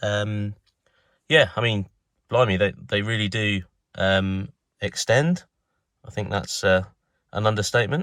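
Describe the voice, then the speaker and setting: A man with a southern English accent at a fairly slow pace. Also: very clean recording, silent background. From southern England. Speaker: car enthusiast vlogger. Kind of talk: casual product review. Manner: hesitant, many fillers and repetitions.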